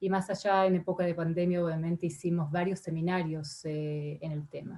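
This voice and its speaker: A woman's somewhat breathy, dark and mellow voice, fairly low in pitch, in a monotone, flat intonation. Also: moderate pace. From Argentina. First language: not Spanish; Spanish is her third language (speaking Spanish). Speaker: ambassador. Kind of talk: parliamentary committee testimony. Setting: senate committee session. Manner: halting, many fillers and repetitions.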